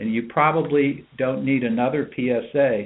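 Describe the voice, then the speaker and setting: This is a normal speaking voice. It moves at a moderate pace with fairly even intonation. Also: man. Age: 60s. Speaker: urologist. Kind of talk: expert talk on a medical webinar. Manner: measured, explanatory.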